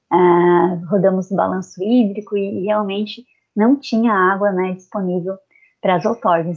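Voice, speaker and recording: The speaker is a woman with medium pitch. Her intonation is fairly even. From southern Santa Catarina, Brazil. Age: 30s. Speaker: environmental engineer. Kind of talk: interview. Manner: halting.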